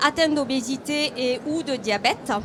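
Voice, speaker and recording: A woman with a southern French accent speaks in a high pitch with fairly even intonation against noticeable background noise. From southern France. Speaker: hospital deputy director. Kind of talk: conference presentation.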